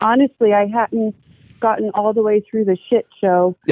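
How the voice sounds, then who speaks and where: A woman's plain, everyday voice, fairly high in pitch, with fairly even intonation and a moderate pace. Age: 40s. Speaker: military veteran and caller. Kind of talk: phone-in call about health. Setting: phone call.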